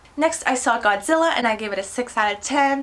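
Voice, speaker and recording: Noticeable noise runs in the background. A woman is speaking. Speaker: movie vlogger. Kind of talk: casual movie review monologue. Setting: home recording with computer. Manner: fast.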